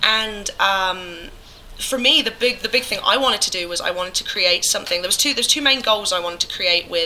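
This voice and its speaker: A woman with an English accent talks fairly quickly, her pitch fairly high and her intonation lively. Noticeable background noise runs underneath. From England. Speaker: musician. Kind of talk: casual chat. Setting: convention. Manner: nervous.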